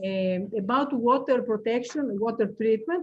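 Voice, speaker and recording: This woman's voice sits at a fairly high pitch, with ordinary pitch variation. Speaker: researcher presenting a colloquium talk. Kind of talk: academic Q&A after presentation. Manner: halting, many fillers.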